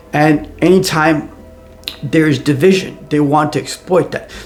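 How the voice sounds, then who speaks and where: Over music in the background, a man with a non-native accent speaks in a fairly high pitch with fairly even intonation. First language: not English. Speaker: AI commentator, show host. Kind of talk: personal commentary monologue. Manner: conversational with frequent repetitions and fillers.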